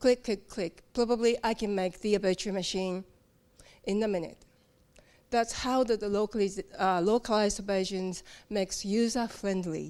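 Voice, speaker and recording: The speech moves at a moderate pace with fairly even intonation, recorded very cleanly against a silent background. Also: woman, medium pitch for a woman. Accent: Japanese. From Japan. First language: Japanese. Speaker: localization team member at a software company. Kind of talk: conference talk. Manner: halting.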